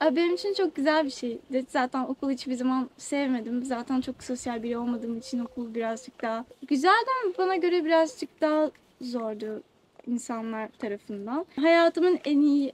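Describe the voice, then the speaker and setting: A woman speaks at a moderate pace in a high voice with ordinary pitch variation. Noticeable background noise is present. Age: 20s. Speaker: musician. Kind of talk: interview. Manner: hesitant.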